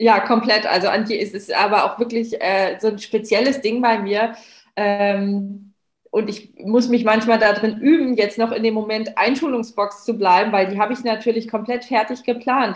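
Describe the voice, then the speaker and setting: A woman's unremarkable speaking voice, fairly high in pitch, moderate pace and fairly even intonation. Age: 30s. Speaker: founder of a cupcake business. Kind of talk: casual interview.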